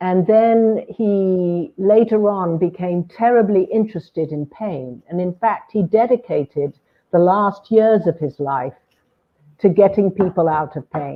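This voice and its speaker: At a fairly slow pace, a woman with a British accent speaks at a medium pitch with ordinary pitch variation. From Britain. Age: 70s. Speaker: hypnotherapist. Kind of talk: interview conversation.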